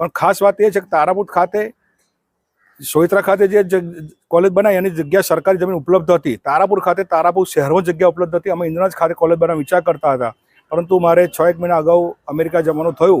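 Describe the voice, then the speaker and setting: A man's high-pitched voice with fairly even intonation. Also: dry, close sound with no echo. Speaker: state legislator. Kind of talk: public speech.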